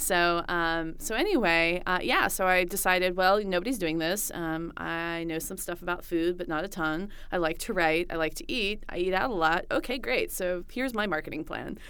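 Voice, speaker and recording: A woman speaks at a moderate pace in a bright, sharp tone, her pitch fairly low and its variation ordinary. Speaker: food blogger. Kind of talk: interview.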